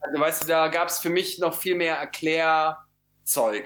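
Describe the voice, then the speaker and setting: A man's high-pitched voice at a fairly slow pace. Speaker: photographer. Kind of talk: interview. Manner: halting, many fillers.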